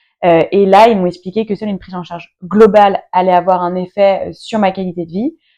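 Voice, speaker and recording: A woman's dark, mellow voice at a fairly quick pace, with fairly even intonation, big swings in loudness and hardly any pauses. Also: medium pitch for a woman. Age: 30s. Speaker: entrepreneur and patient guest. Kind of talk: interview. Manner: hesitant, many fillers.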